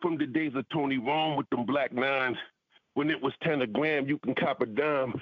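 Medium in pitch, a man uses a plain, everyday voice at a moderate pace with fairly even intonation. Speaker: rapper and music producer. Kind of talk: casual interview chat. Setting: radio studio interview. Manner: relaxed, laid-back, slangy.

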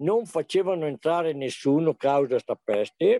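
In a dry, close sound with no echo, a man speaks with ordinary pitch variation. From Sovramonte, Belluno province, Veneto, Italy. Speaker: retired antiques enthusiast. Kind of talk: interview storytelling. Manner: hesitant with many fillers.

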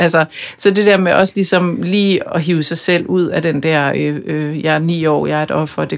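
This woman talks fairly slowly, her very deep, low pitch held in fairly even intonation. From Denmark, Bornholm. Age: 40s. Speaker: media executive and author. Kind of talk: interview conversation. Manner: hesitant, many fillers.

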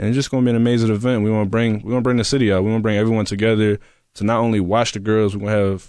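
With a fairly low pitch, a man speaks in a monotone, flat intonation. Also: quiet background. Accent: American. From Philadelphia. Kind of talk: casual interview.

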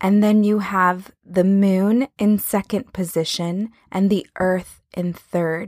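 At a very slow pace with hardly any pauses, a woman speaks at a medium pitch with fairly even intonation. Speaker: podcast host. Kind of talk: spiritual talk podcast monologue.

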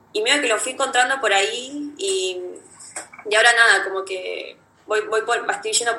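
Audible room echo surrounds the speech. The pace is moderate. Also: woman. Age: 20s. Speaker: photography student. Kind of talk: casual chat. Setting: video call.

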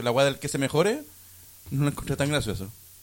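Someone with a Chilean accent speaks at a fairly quick pace. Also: man. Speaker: podcast co-host. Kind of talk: casual chat.

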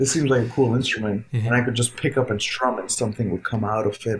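A somewhat breathy man speaks at a medium pitch with fairly even intonation. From India, Noida (capital region). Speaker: jazz guitarist and educator. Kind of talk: interview.

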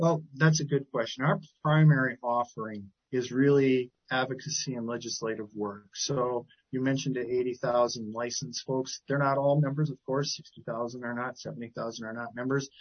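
A man with an American accent and an ordinary speaking voice, medium in pitch, at a moderate pace with fairly even intonation. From Wisconsin, Milwaukee area. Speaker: CEO of a professional association, family therapist. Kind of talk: interview.

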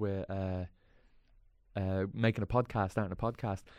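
A man with a Dublin accent speaks in a flat monotone with a dark, mellow tone against a quiet background. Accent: Dublin Irish. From Ireland, Dublin inner city. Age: 30s. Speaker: comedy actor. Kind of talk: casual chat.

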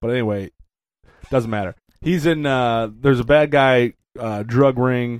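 This man has an ordinary speaking voice at a medium pitch. He speaks at a fairly slow pace with fairly even intonation. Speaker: podcast co-host. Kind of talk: casual banter.

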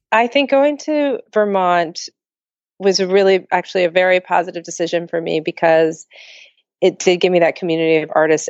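With an ordinary speaking voice, this woman talks moderately fast in a fairly low pitch. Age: 40s. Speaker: abstract painter. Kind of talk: interview conversation.

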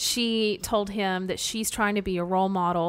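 In a very clean recording with a silent background, an unremarkable speaking voice talks at a fairly slow pace. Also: woman. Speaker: podcast host. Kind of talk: casual chat.

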